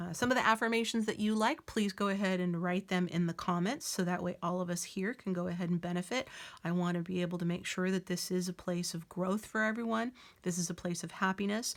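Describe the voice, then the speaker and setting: With ordinary pitch variation and a medium pitch, a woman speaks at a very fast pace. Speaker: tarot reader. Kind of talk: tarot reading. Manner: filler words, hesitant.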